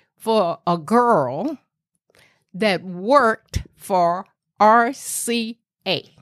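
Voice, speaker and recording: A woman's fairly high voice with a Southern US accent. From US South, rural Tennessee. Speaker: grandmother telling her life story. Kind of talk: storytelling interview.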